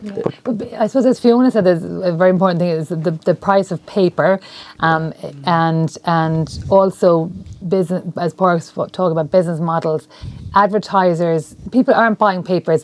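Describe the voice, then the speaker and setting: Someone speaks at a moderate pace in an Irish accent. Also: woman, fairly low pitch for a woman, ordinary pitch variation. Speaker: journalism lecturer. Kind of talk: panel discussion. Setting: university room.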